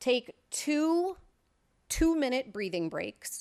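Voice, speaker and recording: A woman's high voice at a very slow pace, with very wide pitch swings. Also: dry, close sound with no echo. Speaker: wellness presenter. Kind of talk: presentation.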